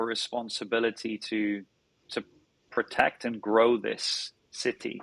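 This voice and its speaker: A man speaks very slowly at a medium pitch, his bright, sharp tone captured in a dry, close recording with no echo. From northern England. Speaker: startup founder and CEO. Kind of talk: podcast interview. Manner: halting, many repetitions.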